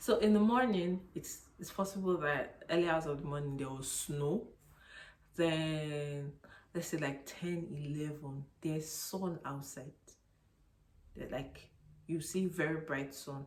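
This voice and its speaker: A woman with a Nigerian accent speaks at a very deep, low pitch, with long, frequent pauses. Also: ordinary pitch variation, fairly slow pace. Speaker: YouTuber. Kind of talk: casual vlog talk.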